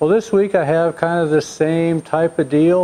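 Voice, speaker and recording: The man's dark, mellow tone comes at a moderate pace. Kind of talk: casual vlog intro to camera. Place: workshop.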